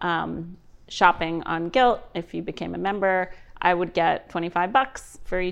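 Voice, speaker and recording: A woman's fairly low pitch with fairly even intonation, a normal speaking voice. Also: quiet background. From New York City. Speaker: entrepreneur and growth equity investor. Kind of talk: interview.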